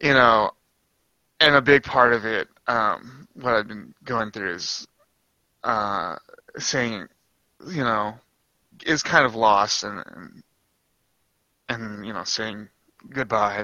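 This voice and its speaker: Speaking at a very slow pace, a man uses ordinary pitch variation and long, frequent pauses. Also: medium pitch for a man, big swings in loudness. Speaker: anime podcast guest. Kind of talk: casual chat.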